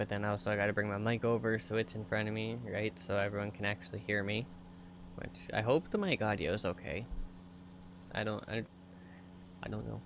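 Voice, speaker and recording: Soft-spoken and fairly low-pitched, a man talks at a fairly quick pace with fairly even intonation. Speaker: video game streamer. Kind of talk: casual live-stream chat. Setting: home streaming setup.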